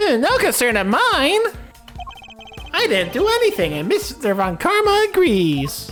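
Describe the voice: A put-on character voice at a fairly slow pace, with long, frequent pauses and clear music in the background.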